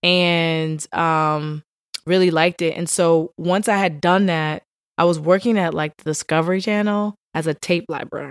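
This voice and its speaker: In a plain, everyday voice, a woman talks at a moderate pace and fairly low pitch, dry and close with no echo, on a very clean recording with a silent background. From Richmond, Virginia. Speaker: film producer. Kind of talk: casual chat.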